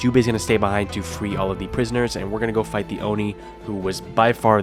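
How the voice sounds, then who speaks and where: Very fast male voice, fairly low in pitch with fairly even intonation, music playing in the background. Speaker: gaming YouTuber. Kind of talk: game trophy guide voice-over.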